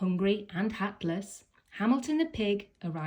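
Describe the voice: Lively intonation throughout plain reading aloud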